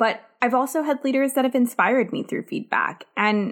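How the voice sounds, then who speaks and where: A woman speaks at a moderate pace. Her voice is high in pitch with ordinary pitch variation. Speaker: podcast host. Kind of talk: solo podcast monologue. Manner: cheery, bright.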